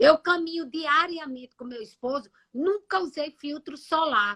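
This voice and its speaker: A woman with a high pitch projects a raised voice at a fairly slow pace, her tone bright and sharp, her intonation lively, and the sound dry and close with no echo. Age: 60s. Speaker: nutritionist. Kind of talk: live stream health talk. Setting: live stream.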